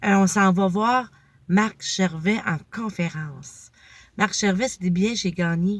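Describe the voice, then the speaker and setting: A woman with a Quebec accent speaks very slowly in a somewhat breathy voice at a medium pitch with ordinary pitch variation, on a very clean recording with a silent background. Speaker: motivational vlogger. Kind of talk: casual vlog monologue.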